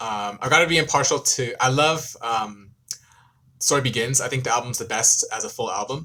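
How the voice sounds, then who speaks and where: In an American accent, a man talks at a medium pitch with ordinary pitch variation. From US, California Bay Area. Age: 20s. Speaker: K-pop YouTuber and law student. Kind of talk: live stream Q&A. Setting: live stream. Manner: fast; hesitant, many ums.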